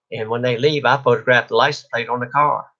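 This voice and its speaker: Speaking fairly quickly, a man uses a bright, sharp tone at medium pitch. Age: 70s. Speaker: YouTuber, small engine repairman. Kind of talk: live stream warning talk. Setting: live stream filmed on phone.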